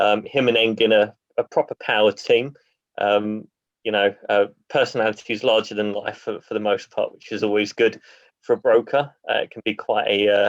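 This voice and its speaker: A man speaks with a British accent. His voice is fairly low, in a monotone, flat delivery. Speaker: property auction investor speaker. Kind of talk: online presentation. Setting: video call. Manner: fast.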